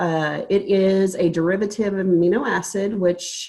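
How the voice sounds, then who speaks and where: In a Texan accent, a woman speaks at a medium pitch. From Texas, small town east of Dallas. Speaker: registered nurse presenting a supplement product. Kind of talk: sales pitch. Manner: halting.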